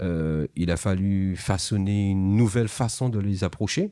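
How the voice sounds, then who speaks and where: The tone is dark and mellow, recorded very cleanly against a silent background with a dry, close sound and no echo. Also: man. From Martinique, rural north. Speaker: reggae artist. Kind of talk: interview. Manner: halting.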